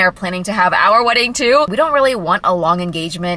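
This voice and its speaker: Here a woman speaks in a dry sound with no echo. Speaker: lifestyle vlogger. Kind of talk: casual vlog chat. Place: car. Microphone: phone near.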